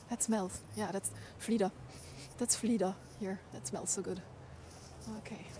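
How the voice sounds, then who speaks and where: Her pitch medium and her intonation monotone and flat, a woman talks at a fairly slow pace with long, frequent pauses. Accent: German. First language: German. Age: 40s. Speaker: livestreamer. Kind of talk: casual chat. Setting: outdoors.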